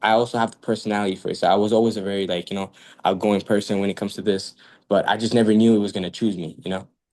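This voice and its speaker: A man's fairly low voice at a very fast pace, over a quiet background. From Montreal, Quebec. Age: 20s. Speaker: rapper and singer. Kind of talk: interview. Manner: animated.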